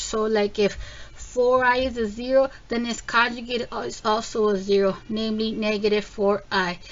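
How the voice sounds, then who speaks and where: A woman's ordinary speaking voice, fairly high-pitched, at a moderate pace with fairly even intonation. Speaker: math teacher. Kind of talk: tutorial. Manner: casual with many fillers.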